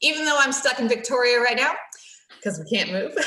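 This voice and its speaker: Over noticeable background noise, a woman with an American accent speaks in a high pitch with lively intonation. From United States. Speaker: council garden staff member. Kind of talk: casual chat.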